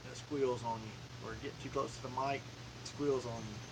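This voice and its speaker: A man with a Southern US accent speaks in a monotone, flat intonation, with audible room echo and noticeable background noise. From US South, Alabama (Talladega County). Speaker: outdoors and hobby YouTuber. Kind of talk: live stream casual chat. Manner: casual, with filler words.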